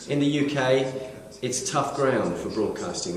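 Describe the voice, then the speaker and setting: A man with a British accent talks at a moderate pace, and audible room echo surrounds his voice. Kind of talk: recorded video message. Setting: radio station building. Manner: sincere, with frequent hesitations.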